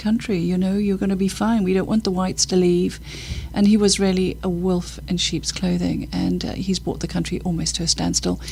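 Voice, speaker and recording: Over noticeable background noise, a woman talks at a very fast pace. She speaks with a British accent. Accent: British-sounding. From Zimbabwe. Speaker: charity worker. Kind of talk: podcast interview.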